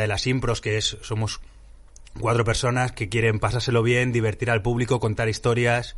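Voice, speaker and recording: The voice is somewhat breathy, with monotone, flat intonation. Its pace is fairly quick. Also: man. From Madrid, Spain. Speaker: improv actor. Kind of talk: interview.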